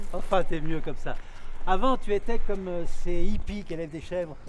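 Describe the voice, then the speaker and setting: A high-pitched man talks at a moderate pace with ordinary pitch variation. His loudness swings widely. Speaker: actor. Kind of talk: acting reel scenes.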